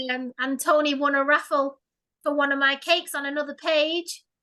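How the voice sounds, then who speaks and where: In a Mancunian accent, a woman speaks in a raised, projected voice at a high pitch. Her tone is bright and sharp, with a quiet background. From Failsworth, Greater Manchester. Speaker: paranormal investigator and cake maker. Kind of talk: casual interview.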